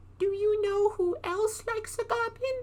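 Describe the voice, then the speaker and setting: A man performs a squeaky, put-on character voice at an extremely high pitch. He speaks at a moderate pace over light background noise. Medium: read story.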